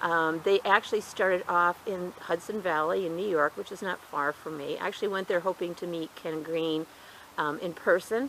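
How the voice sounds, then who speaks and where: Her intonation fairly even, a woman speaks at a fairly low pitch. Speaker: gardening youtuber. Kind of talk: casual tutorial. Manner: fast.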